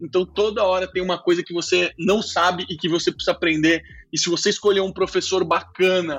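A man talks at a fairly quick pace in a high voice with fairly even intonation. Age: 30s. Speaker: tech executive and startup founder. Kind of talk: interview.

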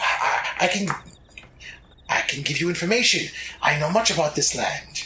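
In a put-on character voice at a middle pitch, the speaker goes at a moderate pace with long, frequent pauses. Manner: hissing, fearful, pleading.

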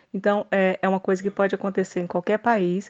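A woman's fairly quick, monotone and flat delivery, dry and close with no echo, over a quiet background. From Brazil. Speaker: political commentator. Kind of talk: casual chat.

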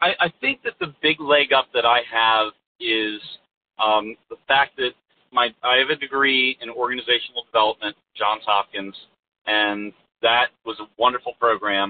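In an unremarkable speaking voice, a man talks at a medium pitch and moderate pace with ordinary pitch variation. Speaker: business coach and speaker. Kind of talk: casual interview chat.

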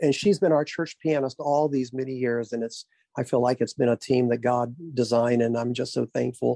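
A man with a Southern US accent and a dark, mellow tone, at a fairly quick pace, in a dry, close sound with no echo. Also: medium pitch for a man, fairly even intonation. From Arkansas. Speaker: pastor. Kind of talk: interview.

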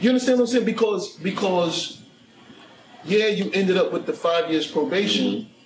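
Speaking in a New York accent at a moderate pace, a man with a high pitch uses ordinary pitch variation over noticeable background noise. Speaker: podcast host, ex-prisoner. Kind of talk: casual chat.

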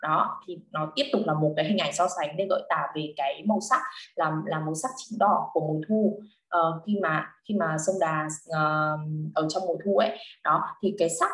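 Her pitch sits fairly low for a woman, and it varies in an ordinary way. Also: fairly slow pace. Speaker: literature tutor. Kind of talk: online lesson. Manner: halting.

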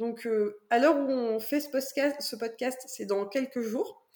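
In a dark, mellow tone, a woman speaks at high pitch. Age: 20s. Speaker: author and physiotherapist. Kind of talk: interview.

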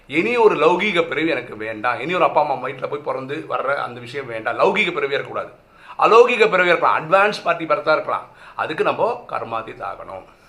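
This man's loudness swings widely. Background noise is noticeable throughout. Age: 40s. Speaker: spiritual teacher. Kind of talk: spiritual teaching talk.

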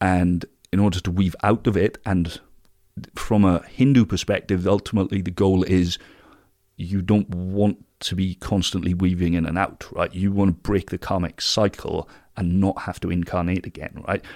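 A man with a British accent, very deep and low in pitch, monotone and flat, at a moderate pace. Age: 30s. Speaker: alternative health business founder. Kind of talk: interview. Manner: halting.

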